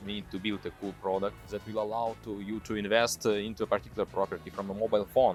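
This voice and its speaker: Music plays behind a man speaking at a very fast pace with a strong Russian accent. His intonation is fairly even. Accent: thick Russian. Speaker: tech executive. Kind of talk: interview answer. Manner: hesitant, many fillers.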